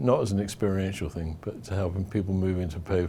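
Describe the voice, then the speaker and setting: Somewhat breathy and dark, mellow in tone, a man's very deep, low voice holds fairly even intonation. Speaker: worship leader and trainer. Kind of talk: interview answers. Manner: hesitant, many fillers.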